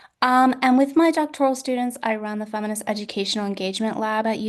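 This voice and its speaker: Fairly high-pitched woman's voice, fairly quick and fairly even in intonation, against a quiet background. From Canada. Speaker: professor. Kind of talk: keynote lecture. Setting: video call from home. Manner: hesitant with many fillers.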